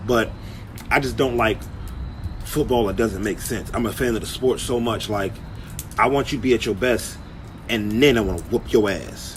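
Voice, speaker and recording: With audible room echo and noticeable background noise, a man at medium pitch speaks at a moderate pace, with ordinary pitch variation and long, frequent pauses. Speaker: sports commentator. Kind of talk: casual sports commentary.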